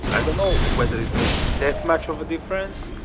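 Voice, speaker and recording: A man with a non-native accent at a moderate pace, with music in the background. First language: not English. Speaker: gaming streamer. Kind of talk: gameplay commentary. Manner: casual, hesitant with fillers. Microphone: quiet microphone.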